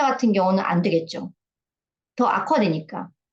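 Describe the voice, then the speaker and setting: A woman speaks. Her pitch swings very widely. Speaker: health lecturer. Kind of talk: lecture. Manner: casual, with filler sounds.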